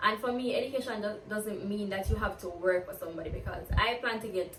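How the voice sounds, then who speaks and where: A woman with a Jamaican accent speaks at a very fast pace in an animated tone. Audible room echo and noticeable background noise surround her. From Jamaica, Kingston. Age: 20s. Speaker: university student and vlogger. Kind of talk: get-to-know-me Q&A vlog.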